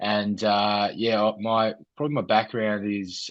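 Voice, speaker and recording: An Australian accent is heard in a man's speech. He talks at a fairly low pitch. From Australia, Ballarat, Victoria. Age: 30s. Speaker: mental health charity founder, former personal trainer. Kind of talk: interview, personal testimony. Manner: hesitant, many fillers.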